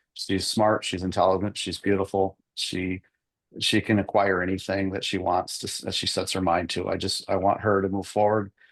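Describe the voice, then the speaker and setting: The delivery is monotone, with flat intonation, at a moderate pace. The background is quiet. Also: man. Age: 60s. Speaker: divorce plaintiff, husband. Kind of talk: court testimony. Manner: halting, many repetitions and fillers.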